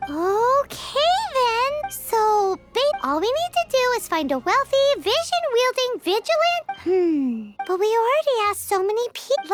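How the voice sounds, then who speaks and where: This put-on character voice is squeaky and extremely high-pitched, moving at a moderate pace with hardly any pauses over loud background noise. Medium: video game. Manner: excitable, blunt.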